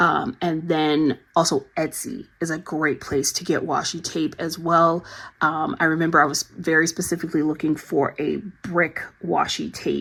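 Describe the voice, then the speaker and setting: Her intonation is fairly even and her pitch fairly low for a woman. The recording is very clean, with a silent background. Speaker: journaling YouTuber. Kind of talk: casual product review talk. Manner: fast; filler-heavy, lots of ums.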